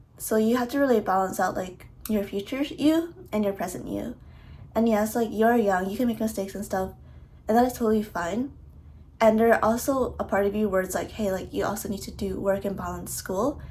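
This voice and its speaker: Fairly high in pitch and somewhat breathy, a woman talks at a fairly quick pace with ordinary pitch variation. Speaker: college student athlete. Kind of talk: casual talk to camera. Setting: construction noise in background.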